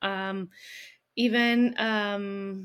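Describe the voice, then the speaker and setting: A woman speaks in a Colombian accent. The recording is very clean, with a silent background. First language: Spanish. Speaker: business founder. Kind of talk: interview, casual chat.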